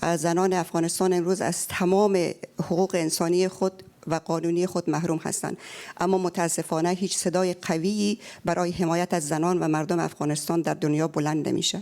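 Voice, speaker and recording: At a moderate pace, a woman speaks in a fairly low pitch with a dark, mellow tone, monotone, flat intonation and very even loudness. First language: Persian (Dari). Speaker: audience member, Afghan peace negotiator. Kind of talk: audience question at panel event.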